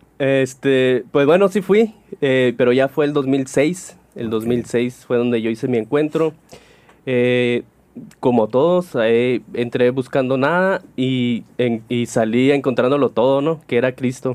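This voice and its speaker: A man talks very slowly at medium pitch with ordinary pitch variation. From Sonora, Mexico (Cananea). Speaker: priest. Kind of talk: casual chat.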